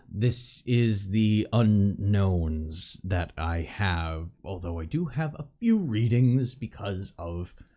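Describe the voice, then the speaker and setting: A man speaks very slowly in a put-on character voice with a fairly low pitch. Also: lively intonation. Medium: actual play. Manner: curt, fussy.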